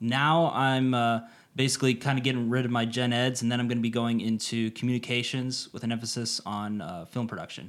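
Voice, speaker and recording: A man with a plain, everyday voice and an American accent talks at a fairly quick pace with medium pitch and fairly even intonation, in a very clean recording with a silent background. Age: 30s. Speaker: YouTuber and student, Navy veteran. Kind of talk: casual chat.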